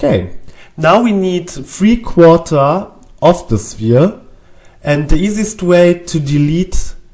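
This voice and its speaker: Someone with a German accent speaks at a very slow pace. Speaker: 3D animation tutorial creator. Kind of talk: tutorial. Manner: hesitant, with fillers.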